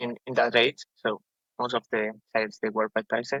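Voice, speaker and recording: The speaker has a Spanish accent. The sound is dry and close, with no echo. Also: man. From Spain, village north of Madrid. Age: 20s. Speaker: podcast guest. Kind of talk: testimony. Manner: halting.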